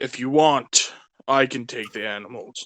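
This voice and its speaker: A raspy, put-on character voice at a moderate pace with fairly even intonation. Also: man. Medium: actual play. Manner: polite, easygoing.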